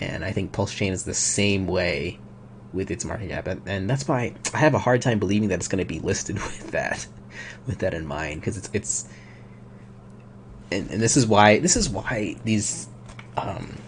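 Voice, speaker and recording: A man mumbles as he speaks. His speech has long, frequent pauses. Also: fairly low pitch for a man, ordinary pitch variation. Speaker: crypto YouTuber. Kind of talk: live stream commentary. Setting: home at night, live stream. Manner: fast; mumbling. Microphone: quiet microphone.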